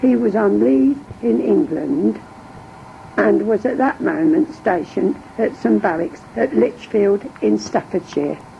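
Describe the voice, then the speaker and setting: A woman with an East Midlands accent speaks at a fairly slow pace and very even loudness over noticeable background noise. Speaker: war-time wife and mother. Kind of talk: interview answer.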